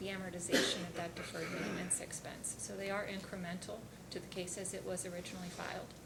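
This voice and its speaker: A woman speaks quietly at a very fast pace, at a medium pitch with monotone, flat intonation. Noticeable background noise and audible room echo come through. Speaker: utility company witness. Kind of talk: testimony at regulatory hearing. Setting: hearing room. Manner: formal.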